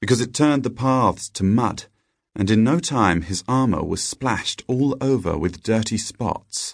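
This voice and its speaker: In an ordinary speaking voice, a man talks at a medium pitch with ordinary pitch variation over a quiet background. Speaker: audiobook narrator. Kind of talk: scripted storybook narration, read aloud. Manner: gentle, storytelling cadence with playful character dialogue.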